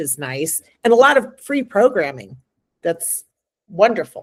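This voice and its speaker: Woman's voice at a fairly high pitch, with vocal fry. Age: 60s. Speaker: magazine editor. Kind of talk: casual chat.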